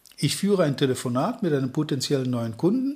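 Somewhat breathy and fairly high-pitched, a man talks at a moderate pace. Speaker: sales trainer. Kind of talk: podcast monologue.

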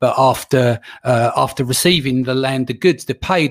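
The man here has an unremarkable speaking voice. His pitch sits fairly high and his pace is moderate. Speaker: podcast host. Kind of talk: interview. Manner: casual, swears.

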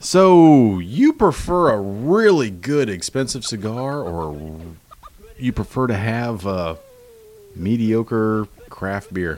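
Noticeable background noise sits behind a man speaking at a medium pitch. He talks very slowly, with very wide pitch swings. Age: 40s. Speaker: podcast co-host. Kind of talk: casual chat.

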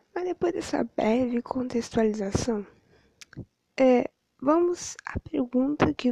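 Dark and mellow in tone, this voice unfolds very slowly. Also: woman. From southern Brazil, Rio Grande. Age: 20s. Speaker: history student. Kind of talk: educational podcast monologue.

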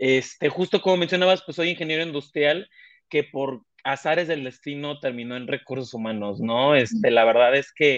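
Speaking at a fairly quick pace with a Mexican accent, a man uses a fairly high pitch and ordinary pitch variation. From Mexico, small coastal town. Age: 20s. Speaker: human resources director. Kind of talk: interview conversation.

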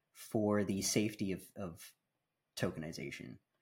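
A man with a Canadian accent is heard on a very clean recording against a silent background. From Canada and the Bahamas. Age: 30s. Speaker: content creator. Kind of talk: casual chat. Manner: articulate.

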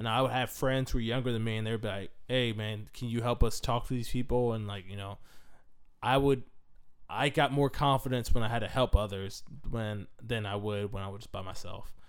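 An ordinary speaking voice with an American accent moves at a fairly quick pace, with fairly even intonation and big swings in loudness. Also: man, medium pitch for a man. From Washington State, US. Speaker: podcast co-host. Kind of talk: casual chat.

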